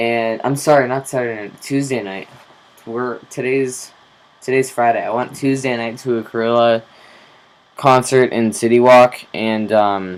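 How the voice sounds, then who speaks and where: Fairly slow speech with fairly even intonation and big swings in loudness, over noticeable background noise. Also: man, medium pitch for a man. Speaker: vlogger. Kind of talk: casual vlog monologue. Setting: recorded on camera. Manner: casual with filler words.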